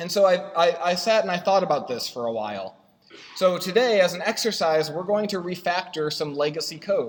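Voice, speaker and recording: Audible room echo follows a man with a high pitch. He talks at a fairly quick pace with lively intonation. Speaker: software consultant and conference speaker. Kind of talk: conference talk. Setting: stage with audience and projector. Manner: fast; halting, many fillers.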